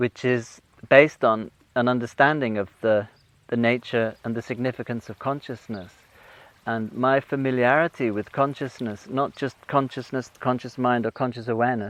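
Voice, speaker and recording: A man's medium-pitched voice moves at a moderate pace with fairly even intonation. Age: 60s. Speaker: ecology teacher. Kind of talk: interview. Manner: halting.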